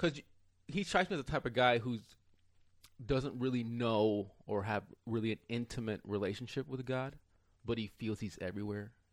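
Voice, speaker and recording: A man at a moderate pace and medium pitch. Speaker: stand-up comedian. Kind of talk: casual chat. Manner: soft-spoken.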